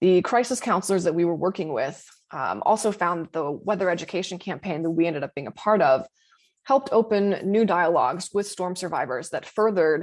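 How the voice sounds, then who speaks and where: Fairly quick, lively speech from a woman with a General American accent, medium in pitch, over a quiet background. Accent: General American (Colorado). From Colorado. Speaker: meteorologist. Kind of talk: seminar talk. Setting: seminar presentation.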